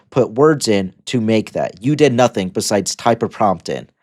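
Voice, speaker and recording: Recorded very cleanly against a silent background, a man with a medium pitch talks at a moderate pace. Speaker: video journal vlogger. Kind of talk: casual monologue. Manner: halting, self-correcting.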